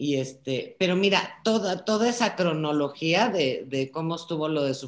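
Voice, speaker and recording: At a moderate pace, a woman speaks in a very deep, low pitch with lively intonation. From Czech Republic, raised in Prague, later Mexico. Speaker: daughter of a Holocaust survivor. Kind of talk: video call conversation. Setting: video call.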